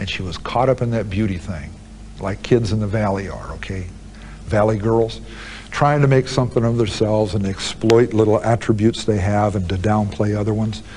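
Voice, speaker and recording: Amid noticeable background noise, a man with a fairly low pitch talks at a fairly quick pace in a calm tone with fairly even intonation. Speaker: convicted serial killer, prison interviewee. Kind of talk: interview answer. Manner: calm, measured, conversational.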